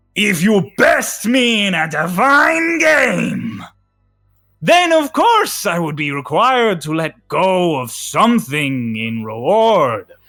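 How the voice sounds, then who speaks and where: A man's put-on character voice, high-pitched, with very wide pitch swings and a fairly slow pace. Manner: grand, imposing.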